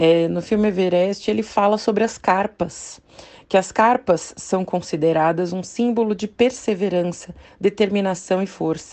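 Using an ordinary speaking voice, a woman speaks at a fairly slow pace with a medium pitch and fairly even intonation. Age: 30s. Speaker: nutritionist and podcast host. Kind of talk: casual monologue podcast.

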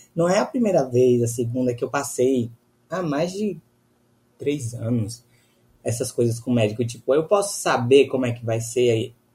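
A man with a dark, mellow, somewhat breathy tone speaks at a medium pitch and moderate pace with lively intonation. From Bahia, Brazil. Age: 20s. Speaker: law student. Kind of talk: casual chat.

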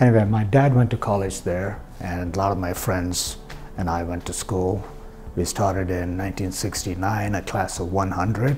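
A man's very deep, low voice at a fairly slow pace with fairly even intonation, plus audible room echo and music in the background. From southern India. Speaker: physician. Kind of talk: personal storytelling monologue. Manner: hesitant with fillers.

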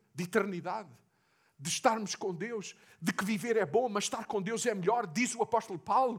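Speaking with a European Portuguese accent, a man keeps a moderate pace and ordinary pitch variation. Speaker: pastor. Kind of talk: sermon.

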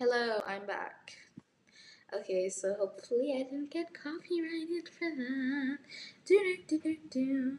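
A woman talks at a fairly slow pace. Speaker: podcast host. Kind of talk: casual podcast monologue.

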